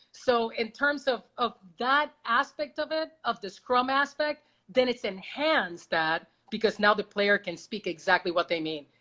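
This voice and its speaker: A loud woman's voice in a Spanish accent, fairly high-pitched, with a bright, sharp tone and very wide pitch swings. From Puerto Rico. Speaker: baseball reporter. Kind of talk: casual interview. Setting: video call.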